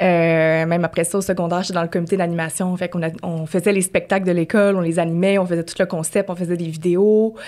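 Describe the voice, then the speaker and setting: Barely pausing at all, a woman races along at a very fast pace in a monotone, flat intonation. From Quebec City, Quebec. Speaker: podcast co-host. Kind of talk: casual chat.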